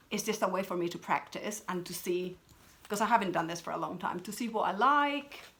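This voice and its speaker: Speaking with a Spanish accent, a woman uses a bright, sharp tone at a medium pitch, with ordinary pitch variation and a fairly quick pace. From Peru. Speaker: craft vlogger. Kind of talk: casual chat. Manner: chatty, with many fillers and restarts.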